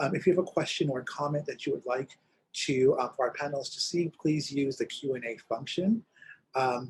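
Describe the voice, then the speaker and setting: This man's pitch is fairly high and his voice somewhat breathy. He talks at a fairly quick pace. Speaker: LGBTQ center director and panel moderator. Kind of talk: panel moderation. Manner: fast.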